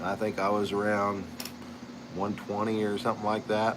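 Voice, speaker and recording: A man speaks in a relaxed tone. There is noticeable background noise behind him. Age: 60s. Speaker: pipe maker and channel host. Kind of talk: casual chat. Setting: live stream. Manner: relaxed, conversational.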